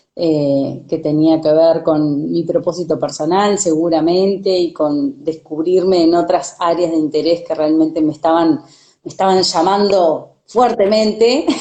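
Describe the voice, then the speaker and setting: Delivered at a fairly slow pace with hardly any pauses, the voice keeps a very even loudness and ordinary pitch variation. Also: woman, fairly low pitch for a woman. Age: 40s. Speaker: sustainability consultant and coach. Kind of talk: casual chat. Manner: halting.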